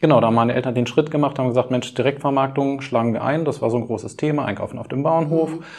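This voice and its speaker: Speaking at a very fast pace with hardly any pauses, a man keeps a medium pitch and fairly even intonation. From Lower Saxony, Schaumburg region. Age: 40s. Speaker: caterer and butcher running a family business. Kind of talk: interview.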